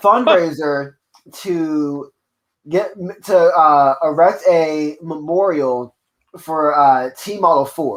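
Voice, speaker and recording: A man's fairly high-pitched voice with ordinary pitch variation. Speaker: comedian. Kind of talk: casual chat. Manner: loud.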